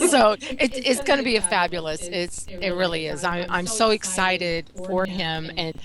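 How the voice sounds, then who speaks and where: Noticeable background noise plays behind a woman with an American accent at a medium pitch and ordinary pitch variation. She talks at a moderate pace with hardly any pauses. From US South. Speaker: college founder. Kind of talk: casual chat. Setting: live online show.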